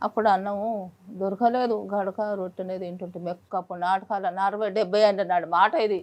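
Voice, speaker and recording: A woman's monotone, flat intonation in a rural Telangana accent. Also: medium pitch for a woman. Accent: rural Telangana Telugu. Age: 80s+. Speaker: elderly villager. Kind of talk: casual interview chat.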